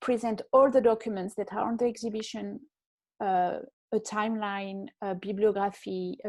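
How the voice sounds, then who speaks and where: The woman's pitch is fairly high. Her tone is dark and mellow. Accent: French. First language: French. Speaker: fashion historian. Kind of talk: online panel interview. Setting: video call. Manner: hesitant, many fillers.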